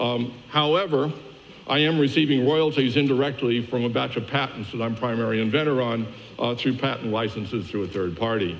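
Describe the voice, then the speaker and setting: A man speaks at a fairly quick pace with a medium pitch and ordinary pitch variation. Audible room echo follows his voice. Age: 70s. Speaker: media industry analyst. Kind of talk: conference keynote presentation. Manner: casual with many fillers.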